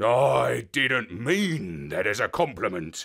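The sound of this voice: A man's put-on character voice, raspy and growling at a medium pitch, with very wide pitch swings and a very slow pace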